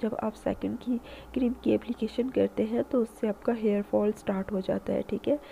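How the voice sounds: A dark, mellow tone with vocal fry and fairly even intonation. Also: woman.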